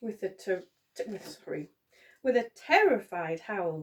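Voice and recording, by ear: The intonation is lively as the speaker is reading aloud in a natural voice, with a quiet background behind.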